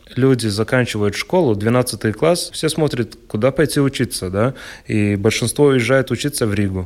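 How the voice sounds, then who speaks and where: A man talks at a moderate pace and medium pitch. His is an unremarkable speaking voice with ordinary pitch variation. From Latgale, Latvia (Ludza). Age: 20s. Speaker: handball player. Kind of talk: radio interview.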